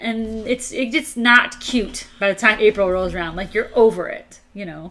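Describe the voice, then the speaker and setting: At a moderate pace, a woman speaks with a bright, sharp tone, a fairly high pitch and ordinary pitch variation. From northern Illinois, Chicago area. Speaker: motorcycle channel co-host. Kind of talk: casual live-stream chat.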